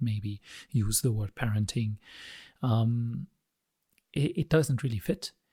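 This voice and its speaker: A man with a non-native accent speaks fairly slowly in a dark, mellow, somewhat breathy voice, the sound dry and close with no echo. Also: very clean recording, silent background. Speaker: emotional coaching founder. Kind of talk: solo talk to camera. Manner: hesitant, many fillers.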